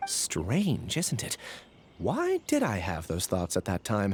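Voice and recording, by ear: A man puts on a character voice, pitched fairly low. He speaks slowly, with very wide swings in pitch.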